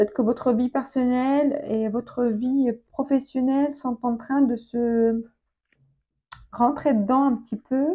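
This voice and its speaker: A woman speaks at a very slow pace. Her high-pitched voice has a dark, mellow tone. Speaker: tarot reader. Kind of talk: tarot reading video. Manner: hesitant, many fillers and repetitions.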